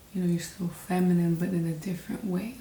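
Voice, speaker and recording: Over noticeable background noise, a woman speaks at a fairly low pitch with monotone, flat intonation. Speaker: vlogger. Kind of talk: personal reflection monologue. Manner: hesitant, many fillers.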